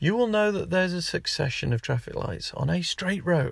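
A man's animated, somewhat breathy voice with very wide pitch swings, at a moderate pace, on a very clean recording with a silent background. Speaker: podcast host. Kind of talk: angry rant. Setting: in a car. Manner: exasperated, ranting; animated, sarcastic.

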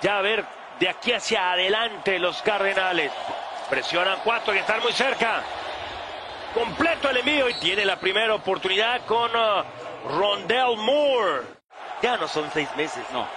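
Over noticeable background noise, a man with a high pitch uses a raised, projected voice at a fairly slow pace, with long, frequent pauses, ordinary pitch variation and very even loudness. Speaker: sports commentator. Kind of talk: live play-by-play commentary.

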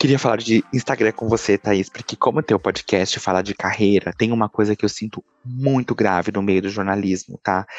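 A normal speaking voice from a man, fairly low in pitch, at a moderate pace with fairly even intonation and a dry, close sound with no echo. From Brazil, southern Minas Gerais. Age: 30s. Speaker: journalist. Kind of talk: interview.

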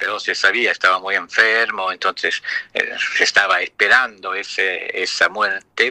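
A man with an Italian accent at a fairly slow pace, in a dry, close sound with no echo. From Luxembourg. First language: Italian (speaking Spanish). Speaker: poet. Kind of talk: interview.

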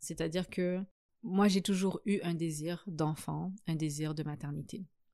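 Her voice is an unremarkable speaking voice, and the woman uses ordinary pitch variation. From Africa. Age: 30s. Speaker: guest on a podcast about singlehood. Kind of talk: casual interview conversation.

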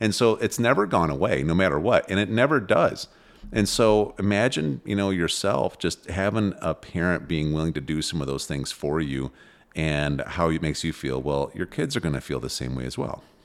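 On a very clean recording with a silent background, a man with a very deep, low pitch and vocal fry speaks at a moderate pace with lively intonation. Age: 40s. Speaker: parenting podcast host. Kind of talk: casual chat.

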